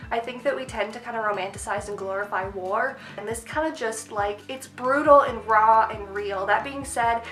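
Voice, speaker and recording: A woman with a fairly high pitch and an animated tone talks at a moderate pace with hardly any pauses, big swings in loudness and ordinary pitch variation. Noticeable background noise and audible room echo come through. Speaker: booktuber and aspiring writer. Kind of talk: casual book review vlog.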